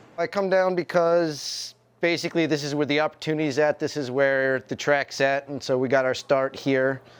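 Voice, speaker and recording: Speaking in a normal speaking voice with an American accent, a man with fairly high pitch keeps a moderate pace and fairly even intonation, with hardly any pauses. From New York State (Poughkeepsie). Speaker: roller derby skater. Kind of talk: documentary interview.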